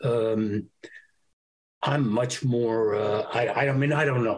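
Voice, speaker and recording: With a New York accent, a man speaks in a somewhat breathy medium-pitched voice and fairly even intonation. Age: 70s. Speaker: actor. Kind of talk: casual interview.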